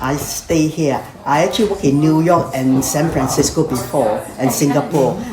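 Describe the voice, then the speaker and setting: A fairly quick pace against noticeable background noise. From Malaysia. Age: 70s. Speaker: retired nurse sharing family history. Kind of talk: casual group chat.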